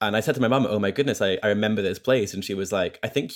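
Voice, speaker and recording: At a very fast pace, a man with a fairly low pitch speaks with ordinary pitch variation. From Scotland. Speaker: guest. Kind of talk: casual interview chat. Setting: video call.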